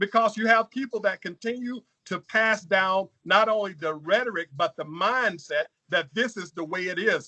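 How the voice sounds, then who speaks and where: A man with an American accent speaks in a raised, projected voice, high in pitch, with a bright, sharp tone and ordinary pitch variation. The sound is dry and close, with no echo. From Louisiana. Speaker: congressional candidate. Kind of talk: political interview. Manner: halting.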